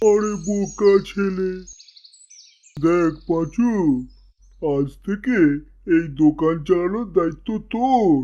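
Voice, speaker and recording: At a very slow pace, a cartoonish character voice carries ordinary pitch variation. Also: man, high pitch for a man. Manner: bossy, scolding.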